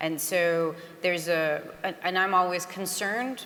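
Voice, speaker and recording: A woman speaks in a fairly low voice. Noticeable background noise can be heard. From France (Paris). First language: French. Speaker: conference panelist. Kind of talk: panel Q&A answer.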